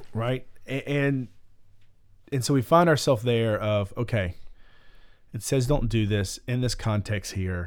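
Recorded very cleanly against a silent background, a man speaks at a medium pitch with ordinary pitch variation and long, frequent pauses. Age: 30s. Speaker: podcast co-host discussing the Bible. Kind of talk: casual chat. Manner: animated, laughing often.

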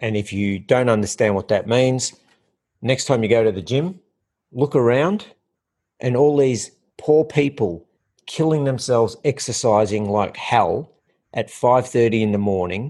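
Against a quiet background, a man with an Australian accent speaks at a fairly slow pace, his medium-pitched voice dark and mellow with ordinary pitch variation and long, frequent pauses. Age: 50s. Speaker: health and fitness coach. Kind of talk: casual interview. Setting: in person at host's home.

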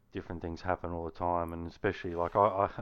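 A man's very deep, low voice in an Australian accent, monotone and flat, at a very fast pace. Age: 40s. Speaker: gamer and racer. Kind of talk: casual chat.

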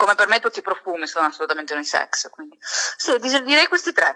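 Bright, sharp and animated, the voice moves at a fairly quick pace with very wide pitch swings in a dry, close sound with no echo. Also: woman. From Sicily, Catania. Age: 20s. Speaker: beauty and fragrance content creator. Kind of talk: casual chat.

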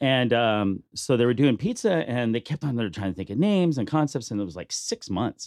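Speaking fairly quickly with an American accent, a man at a medium pitch makes very wide pitch swings, in a dry, close sound with no echo and a quiet background. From Bakersfield, California. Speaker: restaurant owner. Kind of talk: casual interview.

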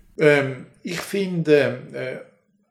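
A man speaks in a somewhat breathy voice. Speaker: folklore professor. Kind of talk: interview. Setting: university office. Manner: animated.

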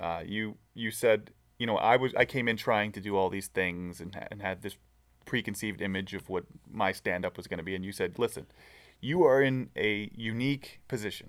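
A man's fairly low-pitched, plain, everyday voice at a moderate pace, with ordinary pitch variation and big swings in loudness. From Southern California. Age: 30s. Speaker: aspiring comedian. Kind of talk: casual chat.

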